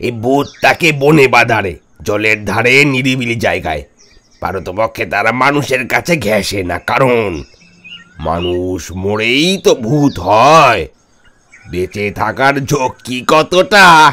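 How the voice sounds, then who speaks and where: In a put-on character voice, a man speaks at a very slow pace and a medium pitch. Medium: audio drama. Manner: chatty, keeps asking "understand?".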